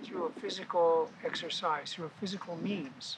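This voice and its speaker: A man speaks with an American accent and a high pitch. Noticeable noise sits in the background. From US Midwest (South Dakota). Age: 80s+. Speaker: body piercing pioneer. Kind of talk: interview.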